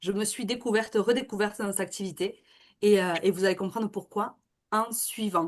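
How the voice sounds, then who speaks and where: Fairly quick speech in a Toulouse accent, with fairly even intonation over a quiet background. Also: woman, medium pitch for a woman. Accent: southern French (Toulouse). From southern France, Toulouse area. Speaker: network marketing seller and real estate worker. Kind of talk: webinar presentation. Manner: hesitant, many fillers.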